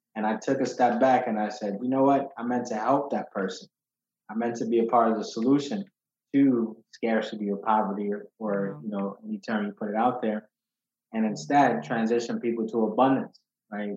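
At a fairly quick pace, a man uses an unremarkable speaking voice, pitched at a medium level with ordinary pitch variation. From Ghana, moved to Chicago at age eight. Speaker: accountant and financial literacy educator. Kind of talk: interview, personal story.

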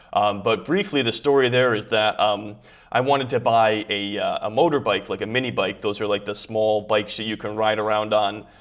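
A man's ordinary speaking voice, fairly low in pitch, at a fairly quick pace with fairly even intonation. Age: 20s. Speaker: YouTuber and online entrepreneur. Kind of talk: interview.

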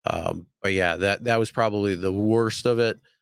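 A man with an American accent at a moderate pace. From western New York, Buffalo. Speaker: rideshare driver and video creator. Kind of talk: casual interview chat. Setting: video call from his basement. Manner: halting, many fillers.

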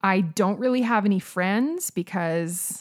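A woman with a plain, everyday voice speaks at a medium pitch with ordinary pitch variation on a very clean recording with a silent background. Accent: Canadian. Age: 30s. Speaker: musician and kindergarten teacher. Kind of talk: casual chat.

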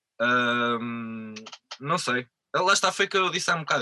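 With a bright, sharp tone and lively intonation, a man at a medium pitch speaks at a moderate pace. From northern Portugal, Vila Real. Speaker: musician. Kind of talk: interview.

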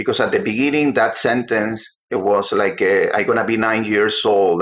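A man speaks with a Spanish accent. His pace is moderate. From Cuba. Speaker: novelist. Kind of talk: interview. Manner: halting.

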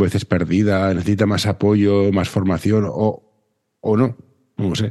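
Over a quiet background, the voice has a dark, mellow tone and fairly even intonation. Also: man. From Barcelona. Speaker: podcast host. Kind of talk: casual chat.

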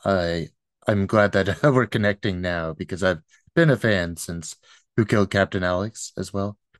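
At a fairly quick pace, a man with an unremarkable speaking voice talks at fairly low pitch with ordinary pitch variation, in a dry, close sound with no echo against a quiet background. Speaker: interviewer. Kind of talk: interview.

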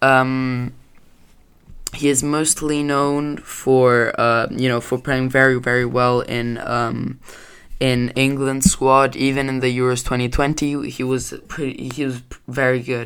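The man speaks very slowly. His intonation is monotone and flat. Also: medium pitch for a man. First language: not English. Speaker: amateur sports podcaster. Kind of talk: solo news-style podcast. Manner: halting, many fillers.

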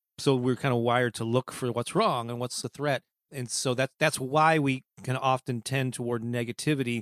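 Speaking at a moderate pace, a man with a Midwestern American accent uses a medium pitch and fairly even intonation. The sound is dry and close, with no echo. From US Midwest, St. Louis, Missouri. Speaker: author and music marketing coach. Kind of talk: interview conversation.

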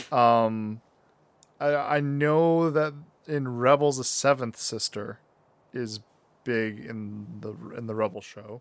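A man at a medium pitch speaks with long, frequent pauses, ordinary pitch variation and big swings in loudness. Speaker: podcast co-host. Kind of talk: casual chat.

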